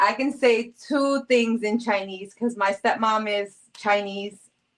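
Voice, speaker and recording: A woman with a New York accent, a fairly high pitch, ordinary pitch variation and a fairly slow pace. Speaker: live-stream host. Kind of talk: casual live-stream chat. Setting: live stream. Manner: animated.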